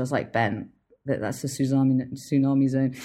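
Very fast speech comes through on a very clean recording with a silent background. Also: woman. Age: 40s. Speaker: film director. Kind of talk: interview.

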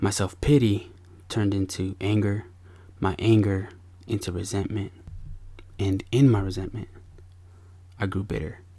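The voice is somewhat breathy, with a dark, mellow, warm tone and fairly even intonation. It moves at a moderate pace, broken by long, frequent pauses. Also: man. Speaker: podcast host and father. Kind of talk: podcast monologue mixing confessional storytelling with a sermon-like pep talk. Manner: earnest and warm, with a preacher-like, punchy delivery.

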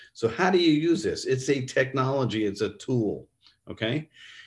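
A man at medium pitch, somewhat breathy, at a moderate pace against a quiet background. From New York State. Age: 50s. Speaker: neuroscience company executive. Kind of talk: interview.

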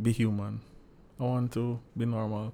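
A man with a dark, mellow tone speaks at a medium pitch. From Jamaica, Saint Andrew parish. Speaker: clinical psychologist and minister. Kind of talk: podcast interview.

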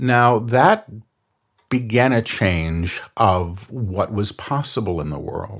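With an American accent, a man speaks at a very slow pace using lively intonation. The recording is very clean with a silent background. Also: medium pitch for a man. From New York City. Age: 50s. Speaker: spiritual medium. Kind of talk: interview. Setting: studio at a retreat center.

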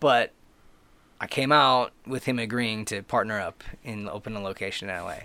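A man at medium pitch with a bright, sharp tone, ordinary pitch variation, a moderate pace and big swings in loudness, on a very clean recording with a silent background. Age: 30s. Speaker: podcast guest, host's longtime best friend. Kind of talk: casual chat.

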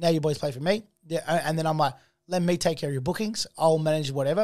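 In an Australian accent, the speaker goes at a very fast pace with ordinary pitch variation, on a very clean recording with a silent background. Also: man. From Australia, Melbourne area. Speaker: artist manager and festival founder. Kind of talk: casual interview chat. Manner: animated.

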